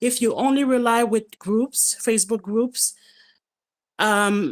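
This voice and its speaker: A woman with a French accent and ordinary pitch variation, on a very clean recording with a silent background. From France. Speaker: participant in live Q&A. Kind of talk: casual chat. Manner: halting.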